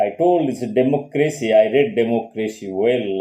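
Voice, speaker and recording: With a Bengali accent, a man speaks in a fairly even intonation. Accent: Indian English, Bengali. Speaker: psychologist and channel host. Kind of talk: casual lecture monologue.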